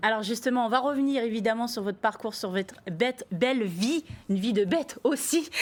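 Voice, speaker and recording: At a fairly quick pace, a woman with a plain, everyday voice talks at a fairly high pitch with ordinary pitch variation. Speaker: TV interview host. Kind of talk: TV talk show host introduction.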